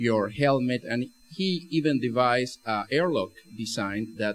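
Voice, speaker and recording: A man with an Argentine accent speaks at a fairly slow pace. His pitch shows ordinary variation. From Argentina. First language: Spanish. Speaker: spacesuit engineer. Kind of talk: lecture. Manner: halting, many fillers and repeats.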